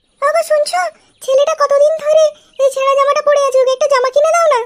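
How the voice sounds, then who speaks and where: A woman puts on a cartoonish character voice at an extremely high pitch. She talks at a fairly quick pace. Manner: sharp, scolding.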